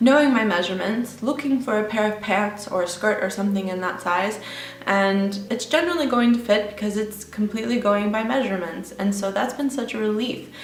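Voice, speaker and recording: A woman with an American accent, fairly high pitch, ordinary pitch variation and a fairly quick pace, over noticeable background noise. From Texas, USA. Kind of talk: casual talk to camera.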